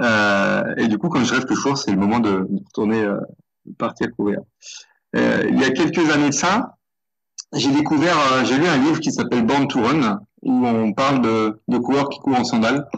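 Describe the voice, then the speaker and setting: A man at medium pitch with ordinary pitch variation and a moderate pace. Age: 50s. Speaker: ultra runner. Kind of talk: interview. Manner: halting, many hesitations.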